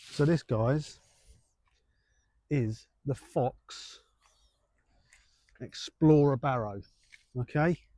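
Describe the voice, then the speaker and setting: This man has a fairly high pitch and a dark, mellow tone, speaking at a very slow pace with long, frequent pauses. His pitch varies in an ordinary way, and the sound is dry and close with no echo. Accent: English. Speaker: carp angler vlogger. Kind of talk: casual vlog. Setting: outdoors. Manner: soft-spoken; quiet.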